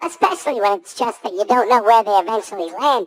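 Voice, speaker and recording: Using a put-on character voice, the speaker rattles along at a very fast pace with a fairly high pitch. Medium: audio drama. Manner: earnest, deadpan.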